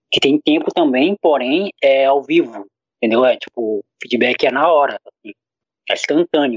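A man speaks with a normal speaking voice at a fairly high pitch. His pitch varies in an ordinary way, and his pace is moderate. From Brazil, Acre. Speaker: podcaster. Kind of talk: casual chat.

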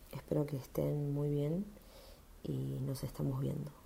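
A woman speaks at a very slow pace. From Argentina, Bragado (Buenos Aires province). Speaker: bank employee and union member. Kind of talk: personal testimony.

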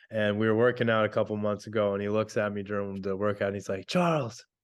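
At a fairly quick pace, an unremarkable speaking voice talks against a quiet background. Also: man. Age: 40s. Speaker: ketamine clinic co-founder. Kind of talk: interview.

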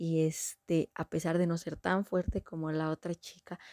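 Her voice is fairly low, with a dark, mellow tone and a moderate pace. The sound is dry and close, with no echo. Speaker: book review podcaster. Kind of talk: casual monologue.

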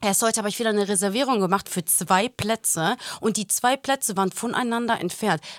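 Here is a woman with a normal speaking voice at a medium pitch and ordinary pitch variation. She talks at a fairly quick pace, and the sound is dry and close with no echo. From Germany, Portuguese-Greek family. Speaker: podcast co-host. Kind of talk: casual chat.

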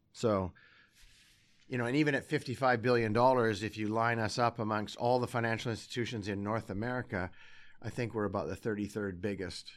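Speaking at a fairly quick pace with a Canadian accent, a man has a normal speaking voice at medium pitch with fairly even intonation. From Alberta, Canada (Sherwood Park). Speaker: bank CEO. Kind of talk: interview. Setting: office.

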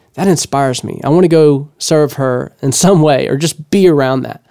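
The recording of this man is dry and close, with no echo. He has a Southern US accent, a fairly high pitch with ordinary variation, and a dark, mellow tone. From Louisiana (Blanchard, small town). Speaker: podcast host and songwriter. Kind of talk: solo monologue podcast, motivational storytelling. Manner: casual, conversational.

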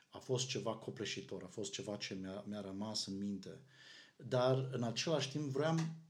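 A man at a moderate pace, medium in pitch, with lively intonation and audible room echo. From Romania, Arad. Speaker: pastor. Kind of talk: casual chat.

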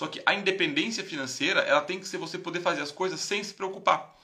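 A man with a high pitch talks at a very fast pace with ordinary pitch variation. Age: 30s. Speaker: investment educator, live stream host. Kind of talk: casual live stream talk. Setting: live stream.

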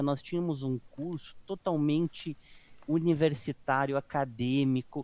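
A man speaks at a fairly high pitch with ordinary pitch variation. The recording is very clean, with a silent background. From Brazil, interior of Rio Grande do Sul. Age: 40s. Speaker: radiology technologist and professor. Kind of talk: casual interview. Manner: halting.

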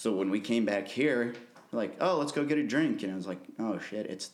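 Using an unremarkable speaking voice, this man's fairly low pitch moves with ordinary variation as he talks at a moderate pace. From Missouri (Columbia). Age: 20s. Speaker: concert promoter and musician. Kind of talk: casual interview.

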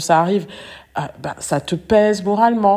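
Speaking at a fairly slow pace, a woman has a dark, mellow tone and fairly even intonation. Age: 30s. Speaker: relationship coach and podcast host. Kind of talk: solo podcast monologue. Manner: conversational with frequent hesitations.

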